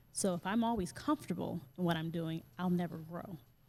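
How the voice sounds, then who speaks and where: With a normal speaking voice, a woman talks at a fairly quick pace and a fairly low pitch. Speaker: yoga teacher and wellness coach. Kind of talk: interview.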